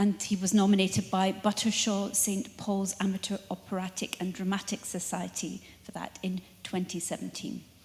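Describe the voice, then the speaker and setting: Noticeable background noise sits under a woman speaking in a monotone, flat intonation. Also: medium pitch for a woman, moderate pace. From northern England. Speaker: lecture series host. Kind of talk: formal introduction.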